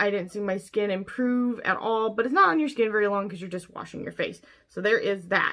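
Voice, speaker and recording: A woman's bright, sharp tone at a fairly quick pace, with ordinary pitch variation, in a very clean recording with a silent background. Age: 30s. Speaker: beauty vlogger. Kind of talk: product review. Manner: casual, chatty.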